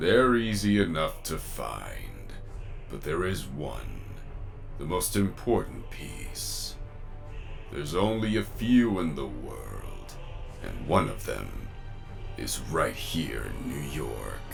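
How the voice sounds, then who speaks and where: A man puts on a character voice, speaking at a very slow pace with long, frequent pauses. Clear background noise is present. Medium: machinima. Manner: scheming, self-assured.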